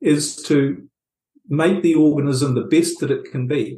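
Speaking fairly slowly in a New Zealand accent, a man has a fairly high pitch and a somewhat breathy voice with a dark, mellow tone. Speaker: author and relationships coach. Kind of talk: interview.

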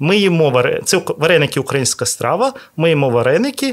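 A man with a fairly high pitch and vocal fry talks at a fairly quick pace, his pitch swinging very widely. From Ukraine, Odesa. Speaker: restaurateur. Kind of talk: interview. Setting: hotel restaurant recording.

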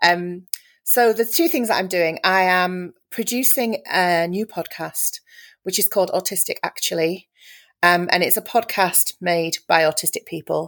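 On a very clean recording with a silent background and a dry, close sound with no echo, a woman of medium pitch speaks in a Yorkshire accent with ordinary pitch variation. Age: 40s. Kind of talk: casual chat.

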